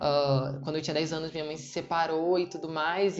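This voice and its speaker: A woman is speaking. Her pace is moderate. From Rio de Janeiro, Brazil. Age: 20s. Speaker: nursing student and novelist. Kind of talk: interview answer.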